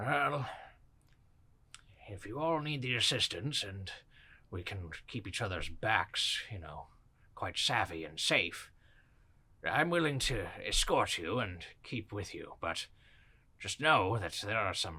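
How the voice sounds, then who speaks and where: A man's put-on character voice, fairly low in pitch, at a fairly slow pace, with very wide pitch swings and long, frequent pauses. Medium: actual play. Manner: formal, old-fashioned politeness.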